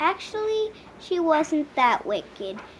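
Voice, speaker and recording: A woman uses a put-on character voice at an extremely high pitch, with very wide pitch swings. She talks fairly slowly over clear background noise. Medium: read story. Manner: rambling.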